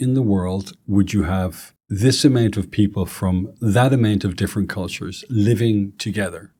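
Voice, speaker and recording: A man with a Dublin accent speaks in a dark, mellow tone at a fairly low pitch and a moderate pace. The recording is very clean, with a silent background. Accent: Irish (Dublin). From Ireland, Dublin. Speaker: real estate executive, interviewer. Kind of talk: interview conversation.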